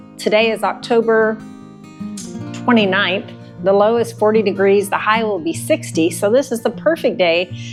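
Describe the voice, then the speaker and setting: A woman with an American accent, music in the background. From Texas. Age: 60s. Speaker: farmer. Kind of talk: how-to tutorial talk to camera.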